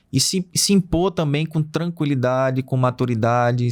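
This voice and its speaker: Here is a man with an unremarkable speaking voice and a medium pitch. He talks at a fairly slow pace with ordinary pitch variation. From Pernambuco, Brazil (Recife). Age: 40s. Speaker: wind farm operations director. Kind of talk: interview.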